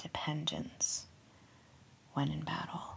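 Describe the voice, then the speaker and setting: A soothing, gentle tone against noticeable background noise. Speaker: podcast host. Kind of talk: guided meditation. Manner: slow, soothing, hushed, sleepy bedtime pacing; gentle, calming, friendly.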